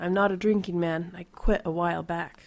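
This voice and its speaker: A raspy, put-on character voice moves at a fairly quick pace with big swings in loudness. Its intonation stays monotone and flat. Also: woman, fairly low pitch for a woman. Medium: read story.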